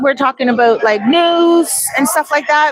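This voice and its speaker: With noticeable background noise, a high-pitched woman talks in an animated tone at a moderate pace, her pitch varying in an ordinary way. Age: 50s. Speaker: vlogger and real estate agent. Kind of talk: casual chat. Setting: live stream.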